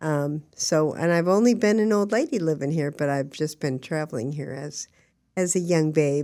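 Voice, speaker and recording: In a very clean recording with a silent background, a woman with a very deep, low pitch and a dark, mellow tone speaks at a moderate pace with lively intonation. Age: 70s. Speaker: actress and advocate. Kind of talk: casual interview.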